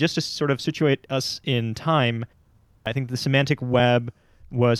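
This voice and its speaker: On a very clean recording with a silent background, a man with an unremarkable speaking voice talks at medium pitch with fairly even intonation. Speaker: podcast host. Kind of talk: casual podcast conversation.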